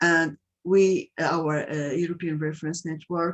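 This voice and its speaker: The voice comes with a Portuguese accent in a dry, close sound with no echo. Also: woman. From Portugal. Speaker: patient advocate. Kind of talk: webinar introduction. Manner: halting.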